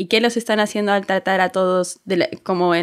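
A woman with a plain, everyday voice and medium pitch speaks at a fairly quick pace with fairly even intonation in a very clean recording with a silent background. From Bolivia. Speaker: strategy and experience design consultant. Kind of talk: casual chat.

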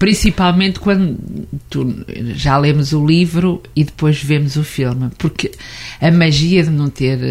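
A woman with a very deep, low pitch and long, frequent pauses. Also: ordinary pitch variation, fairly slow pace. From central Portugal. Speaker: Portuguese teacher. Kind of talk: radio interview. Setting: studio.

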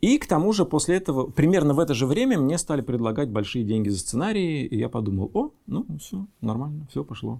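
With a dark, mellow tone and fairly high pitch, a man speaks at a fairly quick pace with very wide pitch swings and hardly any pauses. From Russia, Reutov near Moscow. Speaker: screenwriter and producer. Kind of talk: casual chat. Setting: studio.

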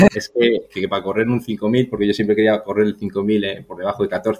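This man talks in a fairly low pitch with a monotone, flat intonation. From Spain, Burgos. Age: 40s. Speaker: marathon runner and athletics coach. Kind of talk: casual interview. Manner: halting, repeats words.

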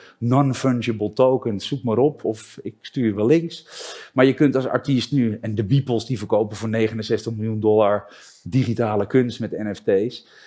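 The voice has a dark, mellow tone, fairly even intonation and a fairly slow pace. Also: man, medium pitch for a man. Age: 50s. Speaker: entrepreneur and international keynote speaker. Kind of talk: casual interview. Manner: halting.

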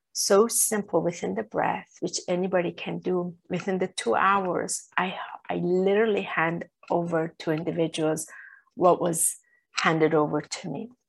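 Against a quiet background, a woman with vocal fry talks at a moderate pace, her fairly low pitch showing ordinary variation. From Iran. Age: 40s. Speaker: spiritual teacher and channeler. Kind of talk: interview testimony.

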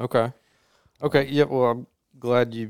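A man's medium-pitched voice comes through dry and close, with no echo. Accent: Mississippi. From Mississippi, Jones County. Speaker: podcast host. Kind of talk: casual chat.

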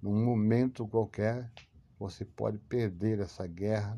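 The man's voice has a dark, mellow tone and monotone, flat intonation, recorded very cleanly over a silent background. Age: 50s. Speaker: podcaster talking about anxiety, English teacher. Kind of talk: monologue / talk.

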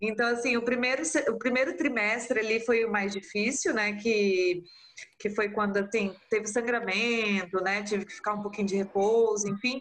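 A woman with a fairly high pitch speaks at a moderate pace and with fairly even intonation over noticeable background noise. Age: 30s. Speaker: mother of twins, artisan soap maker. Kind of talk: casual interview.

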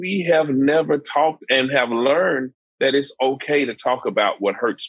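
With a normal speaking voice, the man talks at a fairly high pitch and ordinary pitch variation. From Dallas, Texas. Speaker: nonprofit founder, mentoring organization. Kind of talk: podcast interview.

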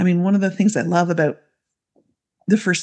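Against a quiet background, a woman talks in a fairly low voice with vocal fry and fairly even intonation. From Canada. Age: 40s. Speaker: midwife and women's coach. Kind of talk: casual interview chat.

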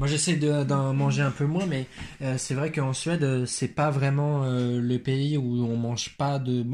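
In a plain, everyday voice, a man speaks at a fairly high pitch and a fairly slow pace. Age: 20s. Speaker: teacher. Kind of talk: casual chat.

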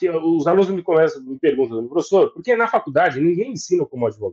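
The voice swings very widely in pitch, recorded with a dry, close sound and no echo. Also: man. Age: 40s. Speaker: lawyer and law professor. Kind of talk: casual interview chat. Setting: live video stream. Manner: animated.

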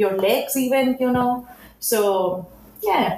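Against noticeable background noise, a woman with a Spanish accent speaks at a high pitch with ordinary pitch variation. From Spain, near Barcelona. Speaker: concept artist. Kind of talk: casual interview chat.

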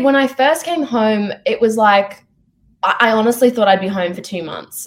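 A woman with an Australian accent speaks in a high pitch. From Sydney, Australia. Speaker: actress. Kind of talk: casual interview. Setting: video call.

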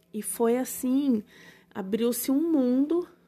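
A woman speaks in a dark, mellow tone that is somewhat breathy. Her intonation is lively. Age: 30s. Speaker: podcast host and holistic therapist. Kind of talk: casual personal monologue.

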